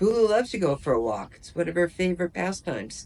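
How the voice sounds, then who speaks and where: A woman talks at a fairly low pitch. Her voice carries vocal fry. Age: 80s+. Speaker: retiree vlogger. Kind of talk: casual vlog monologue.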